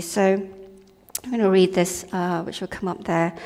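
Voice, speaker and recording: A woman talks at a moderate speed with clear background noise present. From Malaysia. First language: not English. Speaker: lay preacher. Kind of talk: sermon. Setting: church. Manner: casual, hesitant.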